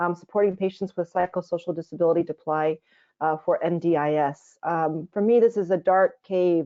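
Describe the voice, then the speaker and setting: A plain, everyday voice from a woman with an American accent, fairly low in pitch, with fairly even intonation and a fairly quick pace. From United States. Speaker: general practitioner. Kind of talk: webinar presentation. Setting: online webinar.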